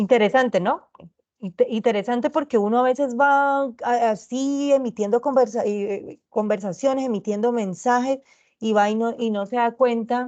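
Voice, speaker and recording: Her voice is high, and the woman uses ordinary pitch variation. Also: moderate pace, quiet background. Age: 30s. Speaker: teacher. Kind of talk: online tutoring lecture. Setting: recorded video call.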